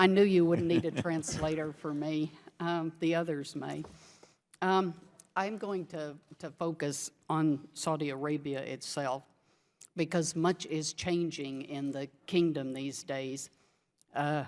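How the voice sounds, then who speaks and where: A woman with a Texas accent speaks at a very deep, low pitch with fairly even intonation and long, frequent pauses, on a very clean recording with a silent background. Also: fairly slow pace. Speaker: witness testifying at a congressional hearing. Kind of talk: formal testimony. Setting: hearing room with microphone.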